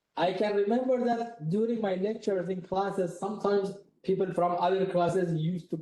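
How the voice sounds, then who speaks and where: With audible room echo around him, a man speaks at a moderate pace in a high-pitched voice. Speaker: university lecturer leading a software workshop. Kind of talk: workshop lecture. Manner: loud.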